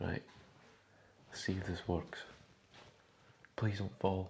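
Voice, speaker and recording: Here a man speaks in a very deep, low pitch. He is somewhat breathy and keeps a moderate pace. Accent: Scottish. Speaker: bodybuilder vlogger. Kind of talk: casual vlog. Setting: at home in kitchen. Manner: whispering.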